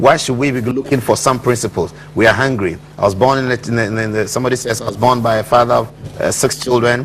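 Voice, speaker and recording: A man rattles along at a very fast pace in fairly even intonation, noticeable background noise behind him. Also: medium pitch for a man. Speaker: TV talk show host. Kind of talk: TV interview. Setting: studio.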